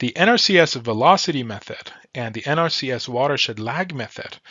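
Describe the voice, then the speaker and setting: Lively intonation from a man at a medium pitch. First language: not English. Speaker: hydrology professor. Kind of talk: lecture. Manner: halting, with fillers.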